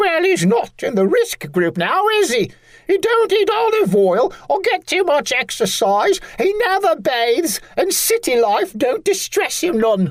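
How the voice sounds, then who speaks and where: A man puts on a squeaky character voice at an extremely high pitch and speaks fairly slowly. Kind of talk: comic overacting. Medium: audio drama. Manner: chattering, dismissive.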